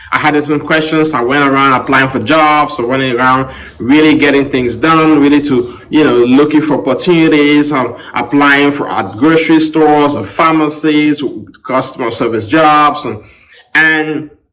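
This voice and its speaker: Room echo can be heard as the voice moves through ordinary pitch variation. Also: man. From Cameroon. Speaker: podcast host. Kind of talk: personal story monologue. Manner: casual, with many fillers.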